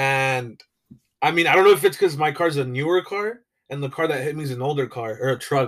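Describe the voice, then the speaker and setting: Very fast, this man rattles along at a fairly high pitch. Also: ordinary pitch variation. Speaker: podcast co-host. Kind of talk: casual chat. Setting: home recording, mic in a coffee cup. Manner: loud.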